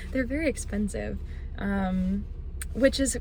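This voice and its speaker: Noticeable background noise fills the recording. A woman talks through it. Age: 20s. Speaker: vlogger. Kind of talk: casual vlog chat. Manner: animated.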